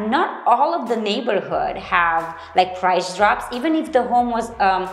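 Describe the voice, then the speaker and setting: A woman with a medium-pitched voice and lively intonation speaks at a fairly slow pace, with noticeable background noise and audible room echo. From Romania. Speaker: real estate agent. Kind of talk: casual chat.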